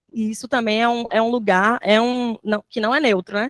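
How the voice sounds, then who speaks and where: A woman speaks at a fairly high pitch in an unremarkable speaking voice. The sound is dry and close, with no echo. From Salvador, Bahia, Brazil. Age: 20s. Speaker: mathematics teacher. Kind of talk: panel talk.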